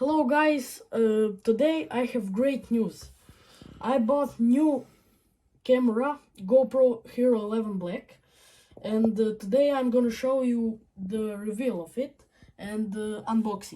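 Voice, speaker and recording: Speaking at a fairly slow pace, a woman with a non-native accent has a fairly high pitch, a dark, mellow tone and ordinary pitch variation. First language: not English. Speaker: YouTuber. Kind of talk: unboxing tutorial. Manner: halting, many fillers.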